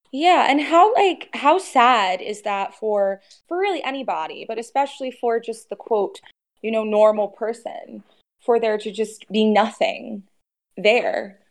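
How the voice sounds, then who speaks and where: Speaking at a fairly slow pace, a woman uses an ordinary speaking voice with fairly high pitch and lively intonation. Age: 20s. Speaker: caller, female bodybuilder. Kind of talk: call-in advice conversation.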